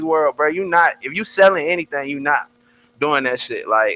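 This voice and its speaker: At a moderate pace, the speaker uses a raised, projected voice. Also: man, dry, close sound with no echo. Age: 20s. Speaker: rapper. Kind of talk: casual chat. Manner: animated.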